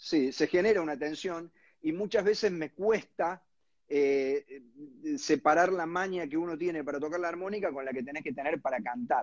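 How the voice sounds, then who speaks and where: This man has a high pitch. His pitch varies in an ordinary way. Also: moderate pace. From Argentina, Córdoba (Villa María). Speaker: singer-songwriter and harmonica player. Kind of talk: interview. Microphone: unstable connection.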